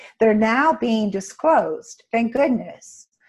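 Her voice has a somewhat breathy quality. This woman speaks fairly slowly. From Canada. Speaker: intuitive healer. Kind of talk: casual interview. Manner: soothing, calm.

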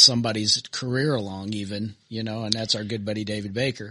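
At a fairly quick pace, a man speaks at medium pitch. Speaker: podcast co-host. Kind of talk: casual chat.

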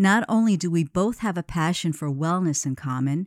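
A woman's plain, everyday voice, fairly low in pitch with lively intonation at a moderate pace, in a very clean recording with a silent background and a dry, close sound with no echo. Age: 50s. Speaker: podcast host, health coach. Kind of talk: interview; scripted narration.

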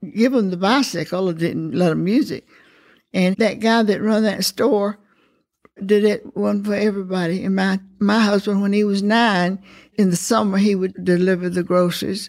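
A woman with a Southern US accent, medium pitch, ordinary pitch variation and a moderate pace. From US South, rural Alabama. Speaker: elder sharing life story. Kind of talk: oral history interview. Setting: senior living facility.

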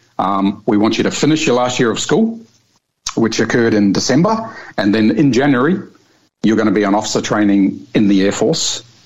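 Speaking with a New Zealand accent, a man talks at a fairly quick pace and medium pitch, with very even loudness and ordinary pitch variation. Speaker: air force fighter pilot. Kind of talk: interview.

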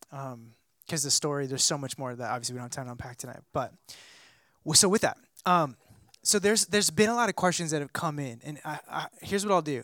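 A man's fairly high voice with ordinary pitch variation, dry and close with no echo, in a very clean recording over a silent background. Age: 30s. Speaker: pastor. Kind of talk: church interview talk.

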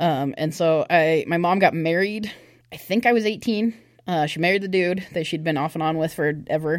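An ordinary speaking voice, a woman with a fairly low pitch talks at a moderate pace in an American accent, with ordinary pitch variation, on a very clean recording with a silent background. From US Pacific Northwest, Olympia, Washington. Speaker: church youth leader. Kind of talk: testimony.

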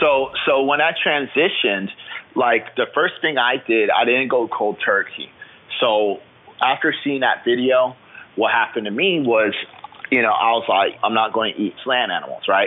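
Over noticeable background noise, a man with an American accent speaks at medium pitch and a moderate pace with ordinary pitch variation. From Florida, US. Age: 20s. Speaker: fitness trainer and bodybuilder, military veteran. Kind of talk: interview.

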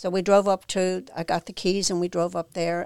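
A woman talks in a fairly low voice with fairly even intonation. The sound is dry and close, with no echo. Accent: Irish. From Ireland. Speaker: founder of a sober living home for women. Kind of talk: casual interview.

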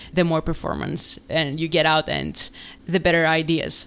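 Speaking at a moderate pace, a woman has a fairly low-pitched voice. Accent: Greek. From Greece. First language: Greek. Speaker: startup founder and CEO. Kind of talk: podcast interview.

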